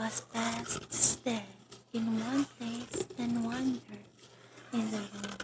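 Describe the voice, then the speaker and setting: A whispering voice moves very slowly while noticeable noise fills the background. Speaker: ASMR artist. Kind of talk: ASMR scary-story reading, whispered late-night. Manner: whispered, calming.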